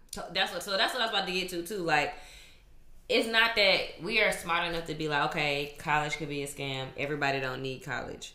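Over noticeable background noise and audible room echo, a woman with a fairly low pitch talks at a fairly quick pace with lively intonation. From Louisiana. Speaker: third grade teacher. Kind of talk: casual chat.

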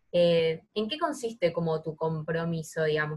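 In a Rioplatense accent, a woman speaks at a moderate pace with fairly even intonation, the sound dry and close with no echo. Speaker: podcast co-host. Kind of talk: interview conversation.

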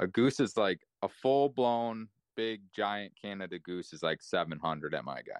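With an American accent, this speaker has a plain, everyday voice, lively intonation and a moderate pace. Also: man, fairly low pitch for a man. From Ohio, US. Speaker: hunter. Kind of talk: casual chat.

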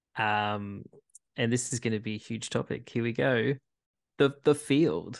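On a very clean recording with a silent background, a man with an Australian accent speaks at a fairly slow pace and medium pitch, leaving long, frequent pauses. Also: ordinary pitch variation. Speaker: sports podcast host. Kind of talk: casual chat.

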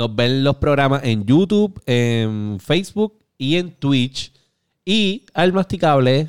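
At a very slow pace, a man with a Puerto Rican accent makes very wide pitch swings. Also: fairly high pitch for a man, very even loudness. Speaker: gaming podcast host. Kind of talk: casual chat. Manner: animated.

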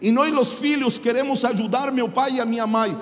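A man speaks at a fairly slow pace in a strong Chilean accent. Noticeable background noise and audible room echo surround him. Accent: thick Chilean Spanish accent in Portuguese. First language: Spanish (speaking Portuguese). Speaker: pastor. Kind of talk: sermon.

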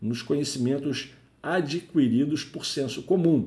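Somewhat breathy, a man's voice carries a dark, mellow tone and ordinary pitch variation. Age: 40s. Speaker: IT career podcaster, network engineer. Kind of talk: solo educational podcast monologue. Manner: conversational, with fillers.

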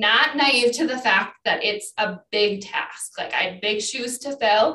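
At a moderate pace, a woman with an Upper Midwest accent talks with ordinary pitch variation. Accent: Upper Midwest American. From Wisconsin, La Crosse area. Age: 40s. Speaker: fitness instructor and county clerk of court. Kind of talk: casual interview chat.

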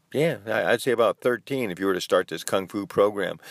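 A man is heard on a very clean recording with a silent background and a dry, close sound with no echo. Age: 60s. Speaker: kung fu teacher and podcast host. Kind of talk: solo podcast lecture. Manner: halting.

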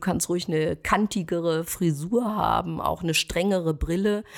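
A woman's normal speaking voice, fairly low in pitch, at a moderate pace with ordinary pitch variation. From Ruhr area, Germany (Schwerte). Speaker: stylist and image consultant. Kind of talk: interview.

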